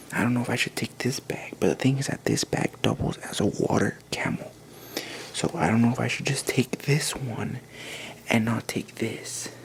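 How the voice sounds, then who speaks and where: A man is whispering. Noticeable background noise can be heard behind him. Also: moderate pace. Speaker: vlogger. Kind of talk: casual vlog narration. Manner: hushed, trying to be quiet.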